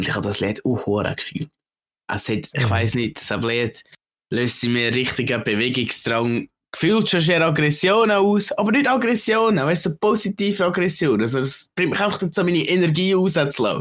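With a Swiss accent, a man talks at a moderate pace in a fairly high voice with vocal fry, his pitch swinging very widely. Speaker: podcast co-host. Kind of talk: casual chat.

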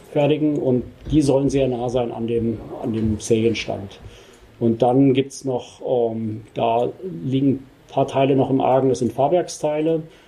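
Talking at a fairly slow pace, a man of medium pitch leaves long, frequent pauses. His intonation is fairly even, and there is noticeable background noise. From Germany, Rosenthal (Hesse). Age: 50s. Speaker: company managing director. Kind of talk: interview. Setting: on-site visit at company premises.

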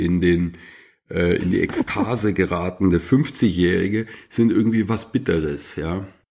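An ordinary speaking voice with lively intonation comes through a very clean recording with a silent background. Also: man. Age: 50s. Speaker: journalist and author. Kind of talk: casual chat.

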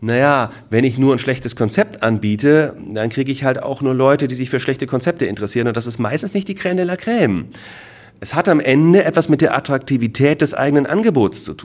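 A medium-pitched man's voice, very fast, with lively intonation. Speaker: franchise consultant. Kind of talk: lecture. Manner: animated.

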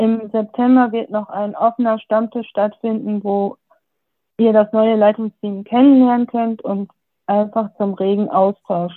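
At a fairly slow pace, a woman with a fairly high pitch and fairly even intonation talks in an unremarkable speaking voice. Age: 20s. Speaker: youth group deputy leader. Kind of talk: casual self-introduction. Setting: video call.

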